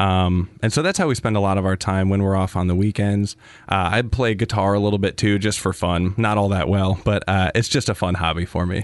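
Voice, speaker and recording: Hardly pausing, a man with an American accent uses a normal speaking voice at a fairly quick pace and fairly even intonation over a quiet background. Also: fairly low pitch for a man, very even loudness. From US Midwest, Wisconsin. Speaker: physician assistant. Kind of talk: interview. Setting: studio.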